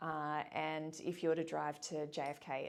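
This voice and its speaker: The speaker has an Australian accent with vocal fry. The recording is very clean, with a silent background. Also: woman. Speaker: boarding school admissions officer. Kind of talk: interview. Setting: office.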